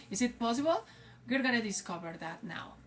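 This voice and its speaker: A woman with a Spanish accent speaks at a moderate pace over noticeable background noise. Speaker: English teacher. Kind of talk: casual vlog talk. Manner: halting, many fillers.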